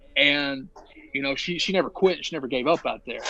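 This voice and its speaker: Over noticeable background noise, a man with a Southern US accent and a fairly high pitch talks at a fairly quick pace with ordinary pitch variation. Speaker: professional wrestler. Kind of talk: podcast interview. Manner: long-winded storytelling.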